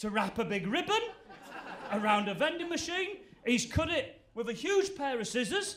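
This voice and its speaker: A man with a northern English accent at a moderate pace, very wide pitch swings, audible room echo and noticeable background noise. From Yorkshire, northern England (Goole). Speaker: stand-up comedian. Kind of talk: stand-up. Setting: stage with audience.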